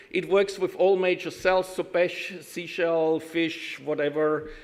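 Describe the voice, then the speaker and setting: A German accent, fairly slow pace and ordinary pitch variation. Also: man. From Austria, Vienna. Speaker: IT consultant, conference speaker. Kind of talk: conference talk. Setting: stage with audience. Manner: halting, many fillers.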